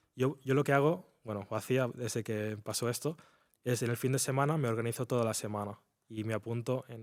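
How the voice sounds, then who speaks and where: With an unremarkable speaking voice, a man talks at a medium pitch and a fairly quick pace with fairly even intonation, in a very clean recording with a silent background. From Spain, near Barcelona. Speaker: trader. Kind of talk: interview.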